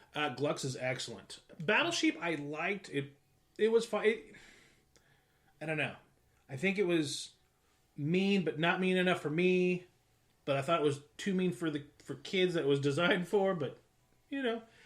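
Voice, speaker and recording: Loud and high-pitched, a man talks at a moderate pace with ordinary pitch variation. Long pauses come often. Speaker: board game group host. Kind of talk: casual chat.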